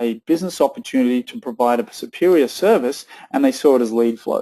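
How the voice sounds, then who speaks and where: Using an Australian accent, a man speaks with a dark, mellow tone in a fairly high pitch. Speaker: tech company co-founder presenting a webinar. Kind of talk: webinar presentation with audience Q&A. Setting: online webinar with chat panel. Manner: hesitant, many fillers and restarts.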